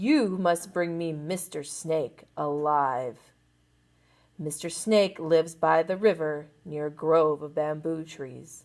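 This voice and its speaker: A put-on character voice, female-sounding, gruff and growling at a middle pitch, with a fairly slow pace. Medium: read story. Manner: gruff, growling.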